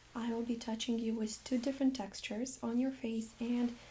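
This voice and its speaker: Using a plain, everyday voice, a woman speaks at a moderate pace and a fairly high pitch with fairly even intonation. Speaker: nurse (playing a doctor in role-play). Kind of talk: ASMR medical role-play exam. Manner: soft-spoken, calm.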